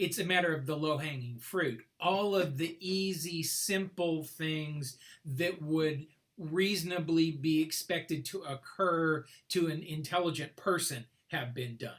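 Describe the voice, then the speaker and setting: Using a plain, everyday voice, a man talks at a fairly slow pace and fairly high pitch with ordinary pitch variation. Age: 60s. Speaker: mathematics professor. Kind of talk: casual chat.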